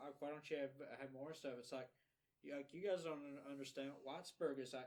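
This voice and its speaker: A man with a fairly high pitch talks at a very fast pace, his intonation fairly even. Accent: Appalachian. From Eastern Kentucky (Letcher County). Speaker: podcast co-host and independent filmmaker. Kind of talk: casual podcast conversation. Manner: halting with many repetitions.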